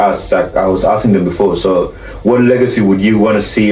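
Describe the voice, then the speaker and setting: A man with a South Sudanese Australian accent talks at a fairly quick pace in a monotone, flat intonation, amid noticeable background noise and audible room echo. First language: Arabic or Dinka. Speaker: podcast host. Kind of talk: casual chat.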